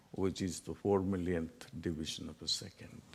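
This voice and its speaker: A man with a Tamil accent. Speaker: spiritual teacher. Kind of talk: lecture.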